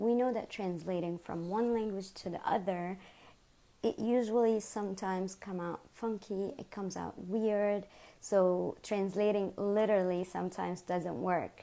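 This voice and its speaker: A woman talks at a moderate pace in a medium pitch with a dark, mellow tone and fairly even intonation. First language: Arabic. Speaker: English teacher. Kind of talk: tutorial.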